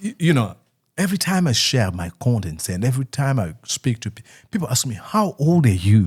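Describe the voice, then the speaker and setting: Somewhat breathy man at a medium pitch, talking fairly quickly with very wide pitch swings. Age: 30s. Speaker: YouTuber and former radio news anchor. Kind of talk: casual Q&A chat. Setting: livestream.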